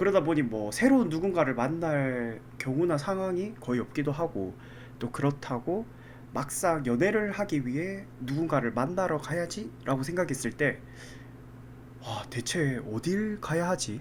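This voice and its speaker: A man with an unremarkable speaking voice, fairly high in pitch, with lively intonation at a fairly slow pace. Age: 30s. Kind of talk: casual podcast conversation.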